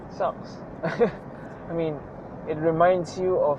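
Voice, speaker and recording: A man is talking, and noticeable background noise can be heard. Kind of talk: casual vlog talk while driving. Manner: rambling, reflective.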